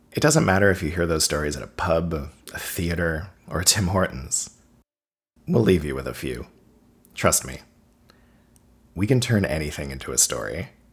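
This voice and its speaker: Lively intonation and vocal fry mark a man's very deep, low voice, broken by long, frequent pauses. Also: moderate pace. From Cape Breton, Nova Scotia. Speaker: video essayist. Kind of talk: scripted narration.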